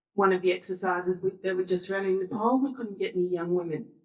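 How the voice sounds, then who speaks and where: A woman's fairly low voice in an Australian accent. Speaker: workshop facilitator. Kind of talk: panel discussion.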